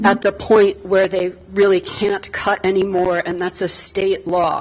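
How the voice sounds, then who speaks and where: Over noticeable background noise, the speech moves at a fairly slow pace with monotone, flat intonation. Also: woman. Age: 60s. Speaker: resident speaking at town meeting. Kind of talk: public comment at town board meeting.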